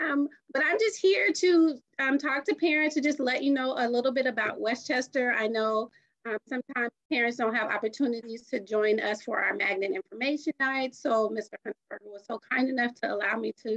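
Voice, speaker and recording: A woman's high-pitched voice moves at a fairly quick pace, with a dry, close sound and no echo. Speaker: magnet school coordinator. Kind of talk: informational presentation. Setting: video call. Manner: fast; energetic.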